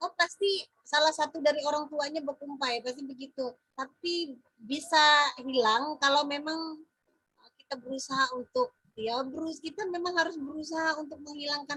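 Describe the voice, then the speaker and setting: A woman's high-pitched voice, bright and sharp in tone, at a moderate pace with ordinary pitch variation. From Central Kalimantan, Indonesia (Dayak Maanyan). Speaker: teacher mentor. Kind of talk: feedback discussion.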